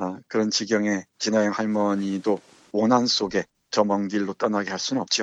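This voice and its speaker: Monotone, flat speech from a man, fairly low in pitch and moderate in pace. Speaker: literature professor and book reviewer. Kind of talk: book talk on radio-style podcast. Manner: halting, with many fillers.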